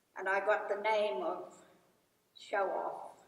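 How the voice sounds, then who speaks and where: A woman speaks at a very slow pace. Room echo is audible around her voice. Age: 80s+. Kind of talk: graduation address. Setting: stage with audience. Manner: formal.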